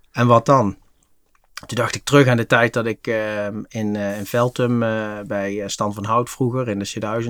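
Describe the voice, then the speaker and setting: Here a man speaks on a very clean recording with a silent background. The sound is dry and close, with no echo. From Netherlands, Limburg (Venray). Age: 40s. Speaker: retail franchise entrepreneur. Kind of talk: interview. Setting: studio. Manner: hesitant with many filler sounds.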